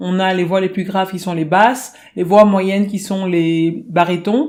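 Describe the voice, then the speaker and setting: A woman with an unremarkable speaking voice, medium in pitch, at a moderate pace. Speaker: singing teacher. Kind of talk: tutorial.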